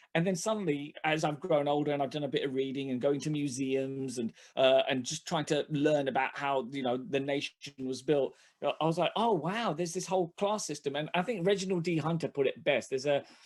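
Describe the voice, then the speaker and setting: A fairly high-pitched man with a London accent, at a fairly quick pace with ordinary pitch variation. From London (Hackney), England. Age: 40s. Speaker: comedian. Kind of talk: casual chat. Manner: halting.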